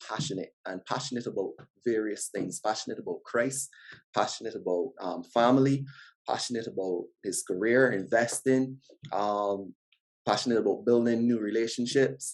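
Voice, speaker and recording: With a strong Barbadian accent, a man talks at medium pitch and a moderate pace, showing ordinary pitch variation. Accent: Barbadian, noted by himself as strong. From Barbados. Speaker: podcast guest, father. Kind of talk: casual interview chat.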